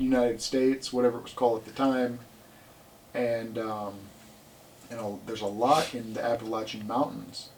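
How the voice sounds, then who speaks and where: Pausing long and often, a man keeps fairly even intonation at a moderate pace, his loudness swinging widely over noticeable background noise. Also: medium pitch for a man. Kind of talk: casual podcast conversation.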